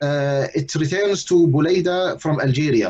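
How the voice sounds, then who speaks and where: Speaking fairly slowly with an Arabic accent, a man uses a high pitch. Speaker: Islamic lecturer. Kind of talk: lecture. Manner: halting, many fillers.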